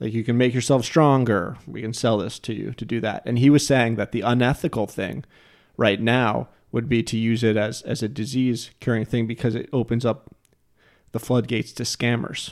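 With an American accent, a normal speaking voice moves at a moderate pace with fairly even intonation on a very clean recording with a silent background. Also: man, medium pitch for a man. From New Jersey. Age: 30s. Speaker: podcast host. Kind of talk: casual chat.

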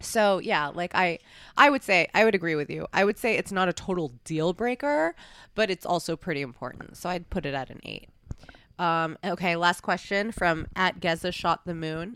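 A woman with a plain, everyday voice speaks at a moderate pace and a fairly low pitch, with ordinary pitch variation. The sound is dry and close with no echo, in a very clean recording with a silent background. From New York, US. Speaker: podcast host, adult performer. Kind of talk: casual interview.

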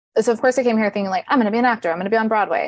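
In a quiet background, a woman speaks with a Californian accent, the sound dry and close with no echo. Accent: Californian American. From Riverside, Southern California. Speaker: teaching artist. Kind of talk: casual interview chat.

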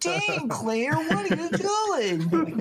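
The speaker uses a put-on character voice. Loud background noise runs underneath. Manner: whiny.

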